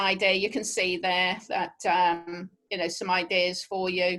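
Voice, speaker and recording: Against a quiet background, a woman with a Norfolk accent speaks at medium pitch in a bright, sharp tone. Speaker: travel specialist. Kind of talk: webinar presentation. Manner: casual, hesitant with fillers.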